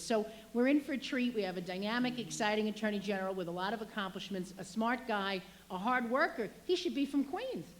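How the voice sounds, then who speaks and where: A woman talks at a fairly quick pace with ordinary pitch variation. Noticeable background noise sits behind her. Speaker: state legislator. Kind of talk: public speech. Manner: fast.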